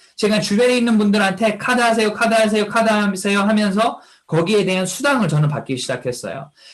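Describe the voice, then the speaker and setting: A man is speaking at a fairly quick clip. His voice is high in pitch. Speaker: network marketing distributor. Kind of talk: motivational testimony talk. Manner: animated, rhetorical questions.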